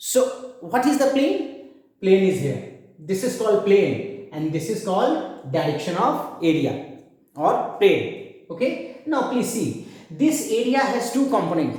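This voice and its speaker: Very slow delivery in an Indian accent with very wide pitch swings and audible room echo. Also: man, high pitch for a man. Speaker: physics teacher. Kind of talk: lecture. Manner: loud; halting.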